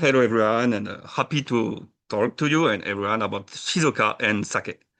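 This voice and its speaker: A fairly quick voice with a French accent, lively intonation and hardly any pauses, over a quiet background. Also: man. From France, Burgundy. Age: 30s. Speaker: sake brewer and tour operator. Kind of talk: interview. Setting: podcast. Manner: halting.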